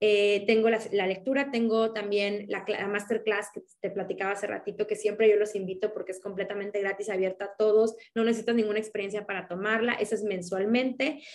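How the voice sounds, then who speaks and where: A woman talks at a fairly quick pace in a Mexican accent, with hardly any pauses. Her intonation stays monotone and flat over noticeable background noise. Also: medium pitch for a woman. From Mexico. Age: 30s. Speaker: akashic records reader. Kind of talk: interview. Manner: halting.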